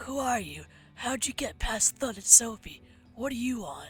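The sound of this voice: A female-sounding put-on character voice comes through at a high pitch and a moderate pace. Music plays in the background.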